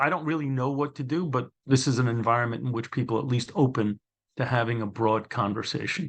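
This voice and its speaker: Here a man speaks with a Brooklyn accent. His pitch is medium with ordinary variation. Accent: New York (Brooklyn). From New York City (Brooklyn). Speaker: former probation commissioner, author. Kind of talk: interview conversation. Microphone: connection difficulty at start.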